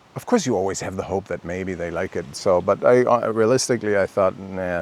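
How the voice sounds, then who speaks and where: Speaking with a German accent, a man keeps a fairly quick pace. He has a fairly low pitch and ordinary pitch variation. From Germany. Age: 50s. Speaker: vlogger. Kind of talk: personal vlog monologue. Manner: halting, many fillers and restarts; talking freely from bullet points.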